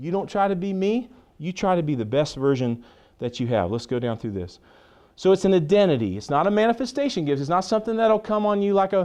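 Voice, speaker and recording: Loud and very fast, a man talks at a high pitch with very wide pitch swings and an animated, passionate tone over a quiet background. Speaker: pastor. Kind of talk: teaching session. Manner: loud, passionate.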